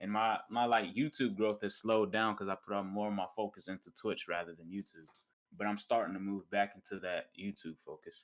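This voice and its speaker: A man with a normal speaking voice, a fairly low pitch and fairly even intonation at a fairly quick pace. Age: young. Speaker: gamer and content creator. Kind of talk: casual chat. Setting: online voice call.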